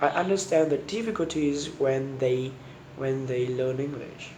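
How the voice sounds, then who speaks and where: A man's fairly high voice at a very slow pace, with noticeable background noise and audible room echo. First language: Vietnamese. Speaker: university student. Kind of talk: spoken homework answers. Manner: halting, many repetitions and restarts.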